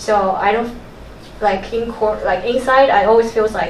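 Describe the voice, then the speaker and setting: A woman's fairly high voice in a Mandarin accent, fairly even in intonation, with audible room echo and noticeable background noise. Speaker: audience member. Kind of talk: sharing in a workshop. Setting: talk with live audience. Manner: halting, many fillers.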